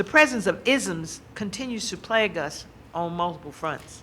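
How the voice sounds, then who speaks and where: A woman speaks at a medium pitch in a bright, sharp tone. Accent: American. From US South. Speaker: university administrator and speaker. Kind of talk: lecture. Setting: stage with audience. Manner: fast.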